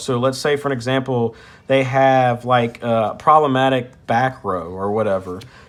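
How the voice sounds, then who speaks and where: Spoken in a plain, everyday voice at a moderate pace, the delivery has ordinary pitch variation. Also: man. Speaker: card game youtuber. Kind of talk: deck profile tutorial. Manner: casual, many fillers.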